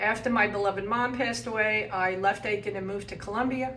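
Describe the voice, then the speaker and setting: Speaking in an American accent, a woman uses a fairly high pitch with ordinary pitch variation. There is audible room echo and noticeable background noise. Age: 60s. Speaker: graduate student in social work. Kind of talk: personal testimony interview. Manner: conversational with fillers.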